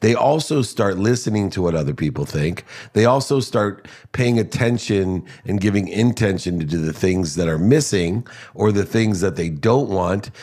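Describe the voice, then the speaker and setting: In a very clean recording with a silent background, a man with a fairly low pitch speaks in an energetic tone at a moderate pace, his intonation lively. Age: 50s. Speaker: motivational speaker and entrepreneur. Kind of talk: interview.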